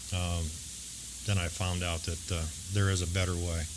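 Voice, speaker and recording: A man with a very deep, low pitch and ordinary pitch variation speaks at a fairly slow pace. Noticeable background noise and audible room echo fill the recording. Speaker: recovering alcoholic speaker. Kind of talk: testimony. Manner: hesitant, with frequent fillers.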